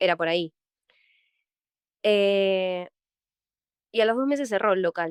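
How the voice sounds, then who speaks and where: A woman at a medium pitch and fairly slow pace, with ordinary pitch variation, long, frequent pauses and a dry, close sound with no echo. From Argentina, Mar del Plata. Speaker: actress. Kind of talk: interview. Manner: halting.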